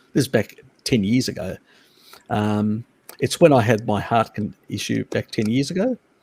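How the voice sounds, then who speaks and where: Speaking with an Australian accent at a moderate pace, a man uses a medium pitch with ordinary variation and long, frequent pauses, the sound dry and close with no echo. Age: 50s. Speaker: live stream host on diet and nutrition. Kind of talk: casual chat. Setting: live stream video call. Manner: halting, many fillers.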